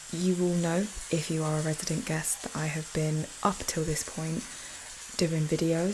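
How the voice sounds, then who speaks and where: A soft-spoken woman talks at a moderate pace in a fairly low pitch. Her intonation is monotone and flat, with noticeable background noise. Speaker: podcast host. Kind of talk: casual monologue.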